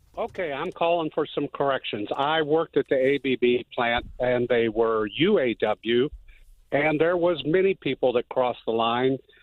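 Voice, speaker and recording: This man has a normal speaking voice, pitched fairly high, with ordinary pitch variation and a moderate pace. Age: 60s. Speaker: caller, factory worker. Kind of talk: call-in radio comment.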